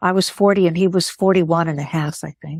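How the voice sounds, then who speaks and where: This woman's voice is recorded with a dry, close sound and no echo. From US Midwest, Chicago. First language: Greek. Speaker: author and lawyer. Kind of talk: interview.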